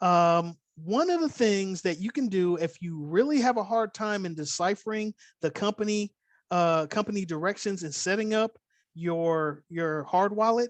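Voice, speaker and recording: A moderate pace with a slight Californian accent against a quiet background. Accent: slight California. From Oakland, California. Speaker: crypto instructor. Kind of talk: online class. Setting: video call.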